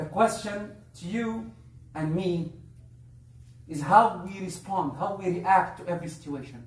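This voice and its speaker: Over noticeable background noise and audible room echo, a man with a high pitch speaks at a fairly slow pace, pausing long and often. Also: ordinary pitch variation. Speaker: Islamic preacher. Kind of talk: religious talk. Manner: halting.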